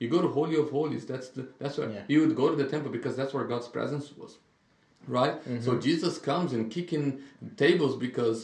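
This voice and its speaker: The voice is somewhat breathy with ordinary pitch variation. The pace is fairly quick. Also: man, fairly high pitch for a man. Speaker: pastor. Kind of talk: casual podcast Bible discussion.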